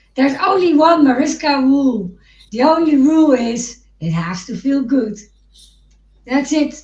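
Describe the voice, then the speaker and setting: A woman with a Dutch accent speaks at a fairly slow pace in a high pitch. Her speech has long, frequent pauses. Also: lively intonation. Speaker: podcast co-host. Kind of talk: casual chat. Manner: halting, many false starts.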